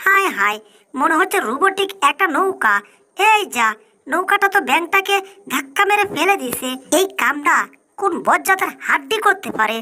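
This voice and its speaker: The voice is a put-on character, pitched extremely high. Its pace is moderate. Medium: fan dub. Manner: brash, colloquial rural Bangla.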